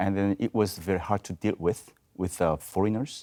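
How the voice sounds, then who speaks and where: A man with a Korean accent speaks at a fairly low pitch. The sound is dry and close with no echo, on a very clean recording with a silent background. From South Korea. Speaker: voice professor. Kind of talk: panel discussion. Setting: video studio.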